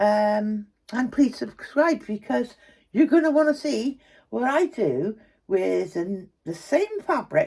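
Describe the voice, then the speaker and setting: Very slowly, a woman speaks at a fairly high pitch in a dark, mellow tone. Her pitch swings very widely. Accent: English. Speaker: craft tutor. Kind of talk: tutorial. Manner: soft-spoken; casual and chatty.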